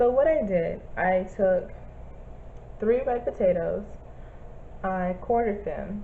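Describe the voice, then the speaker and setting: A woman speaks at a very slow pace with long, frequent pauses. Audible room echo hangs around her words. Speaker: vlogger. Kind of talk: casual vlog review. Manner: halting, many fillers.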